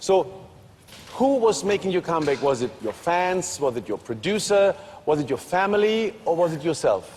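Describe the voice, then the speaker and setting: Speaking in a German accent at a moderate pace, a man with a high pitch makes very wide pitch swings. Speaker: TV talk show host. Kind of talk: TV interview.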